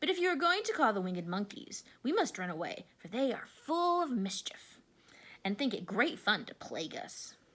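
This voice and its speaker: A woman puts on a squeaky character voice at a high pitch. Her pitch swings very widely as she talks at a moderate pace. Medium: read story.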